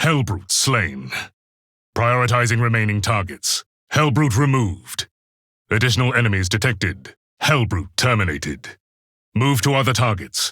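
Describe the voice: Using a put-on character voice at medium pitch, a man speaks at a fairly slow pace with big pitch swings, a fairly bright tone and a slightly husky edge, on a very clean recording with a silent background.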